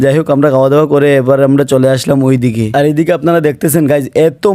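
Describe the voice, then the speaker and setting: A man talks in a normal speaking voice. It sits fairly high in pitch. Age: 20s. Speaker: vlogger. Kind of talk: casual vlog narration.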